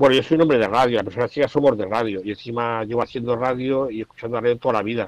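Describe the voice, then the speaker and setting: A man speaks very fast with hardly any pauses, at medium pitch and with fairly even intonation, in a dry, close sound with no echo. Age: 50s. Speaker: journalist and writer, blind since 18. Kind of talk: radio interview, casual talk.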